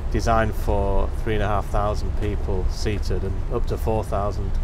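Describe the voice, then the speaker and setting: A man speaks over noticeable background noise. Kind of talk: interview answer. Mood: calm, explanatory. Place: street.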